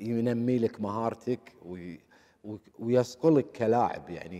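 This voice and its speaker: The background stays quiet. This man's voice has a dark, mellow tone. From Kuwait. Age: 50s. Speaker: former footballer; interview guest. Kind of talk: interview. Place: studio. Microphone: lapel.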